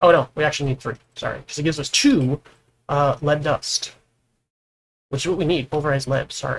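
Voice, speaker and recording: Speaking at a fairly quick pace, a man with a fairly high, somewhat breathy voice keeps a fairly even intonation and leaves long, frequent pauses. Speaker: gaming video host. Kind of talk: gameplay tutorial chat.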